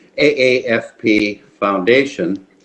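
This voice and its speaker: Medium in pitch with ordinary variation, a man speaks in a normal speaking voice. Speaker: family physician, retired academy staff. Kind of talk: oral history interview questions.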